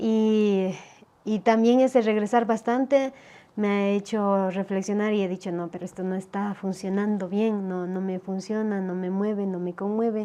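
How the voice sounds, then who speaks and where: Woman with an Ecuadorian accent, medium pitch and a dark, mellow tone, fairly even intonation at a fairly slow pace, over a quiet background. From Ecuador, Otavalo Kichwa community. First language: Kichwa (speaking Spanish). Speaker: poet and writer. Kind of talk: interview conversation. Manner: halting, many fillers and repetitions.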